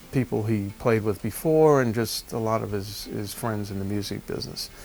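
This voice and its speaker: A man speaks fairly quickly with ordinary pitch variation while music plays behind him. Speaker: rock drummer. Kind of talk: interview answer. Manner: casual, conversational.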